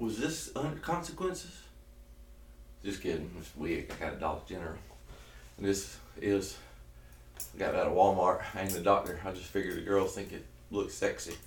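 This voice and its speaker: A man with a Southern US accent at a fairly quick pace, with long, frequent pauses. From South Georgia, US. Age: 30s. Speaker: keto diet vlogger. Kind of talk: casual talk to camera. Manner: energetic, joking.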